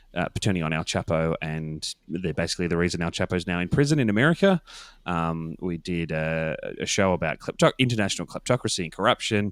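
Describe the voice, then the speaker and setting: Very fast, a man with an Australian accent speaks at a very deep, low pitch with ordinary pitch variation on a very clean recording with a silent background. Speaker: podcast producer. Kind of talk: interview. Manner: many fillers and hesitations.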